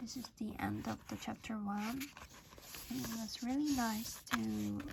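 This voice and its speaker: Mumbling at a very slow pace. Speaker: channel host reading a book aloud. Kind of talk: reading aloud with casual comments. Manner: mumbling, by own account; hesitant, with fillers.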